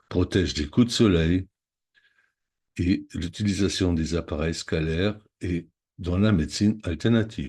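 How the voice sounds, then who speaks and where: In a quiet background, a man with a very deep, low pitch speaks fairly slowly and somewhat breathily, with ordinary pitch variation and long, frequent pauses. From Germany, Munich. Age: 60s. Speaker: psychotherapy practitioner and product seller. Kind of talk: sales pitch. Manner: list-like reading.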